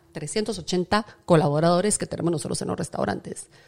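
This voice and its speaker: A woman speaks in a dark, mellow tone. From Guatemala. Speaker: chef and TV presenter. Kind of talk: interview conversation. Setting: restaurant kitchen set.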